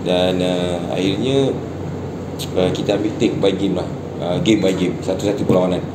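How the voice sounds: A man speaks at a moderate pace with a low pitch and fairly even intonation, and background noise is clearly heard.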